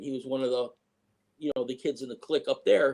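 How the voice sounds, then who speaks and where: Man's voice with ordinary pitch variation. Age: 60s. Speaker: eyewitness interviewee. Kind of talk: interview storytelling. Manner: halting, many fillers.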